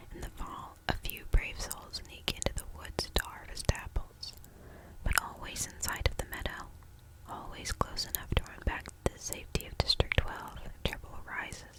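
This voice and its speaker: A whisper over noticeable background noise. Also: moderate pace. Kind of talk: reading a novel aloud. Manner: whispered, soft-spoken.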